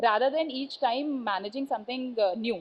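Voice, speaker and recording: A woman speaks in a high pitch. She has an Indian accent. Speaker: conference speaker, composites industry. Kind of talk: conference talk. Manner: hesitant, many fillers.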